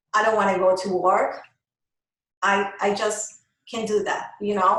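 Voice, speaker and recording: A woman with a Colombian accent talks at a fairly slow pace and medium pitch. Audible room echo surrounds her voice. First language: Spanish. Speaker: microblading artist, business owner. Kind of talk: interview.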